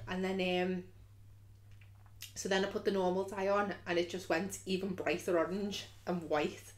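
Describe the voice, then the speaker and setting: A woman with a Liverpool accent, monotone and flat, with vocal fry, a moderate pace and long, frequent pauses. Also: medium pitch for a woman. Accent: Scouse. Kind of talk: casual story time to camera. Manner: chatty, humorous.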